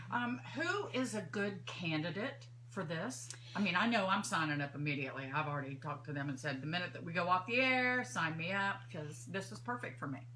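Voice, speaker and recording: Amid noticeable background noise and audible room echo, a woman talks at a fairly quick pace in a very deep, low voice, her pitch swinging very widely. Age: 60s. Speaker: radio host. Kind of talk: radio interview. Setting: studio.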